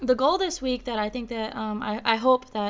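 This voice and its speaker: A woman with a plain, everyday voice talks at a moderate pace with fairly even intonation. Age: 20s. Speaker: podcast host. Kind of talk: casual chat with prayer and testimony.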